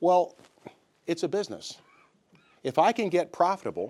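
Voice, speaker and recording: At a fairly slow pace, someone with a Southern US accent speaks with vocal fry in a very clean recording with a silent background. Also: man. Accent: US South. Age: 60s. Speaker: bank founder. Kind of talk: investor pitch. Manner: casual, conversational.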